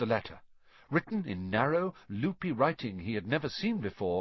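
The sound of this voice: The reading here comes in an unforced voice.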